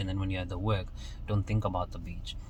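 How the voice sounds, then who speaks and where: A man speaks in a very deep, low pitch. His intonation is monotone and flat, with audible room echo around him. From Kenya. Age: 20s. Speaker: motivational vlogger. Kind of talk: motivational monologue. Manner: casual, with frequent repetitions and fillers.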